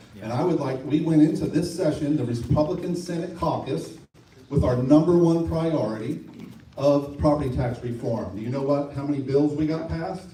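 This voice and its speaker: A man's fairly high voice with ordinary pitch variation, noticeable background noise and audible room echo. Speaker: state legislator. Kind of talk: public meeting presentation.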